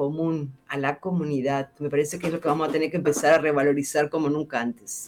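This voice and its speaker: A woman is speaking. She has an Argentine accent. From central Argentina. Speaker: bioethics scholar. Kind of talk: interview.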